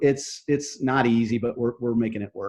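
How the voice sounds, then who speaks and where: An ordinary speaking voice from a man, medium pitch, fairly quick pace. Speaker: real estate brokerage manager and coach. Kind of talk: interview.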